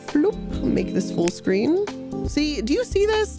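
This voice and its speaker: A woman speaking at a fairly slow pace, with music in the background. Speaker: streamer, YouTuber. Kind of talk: casual livestream reaction commentary.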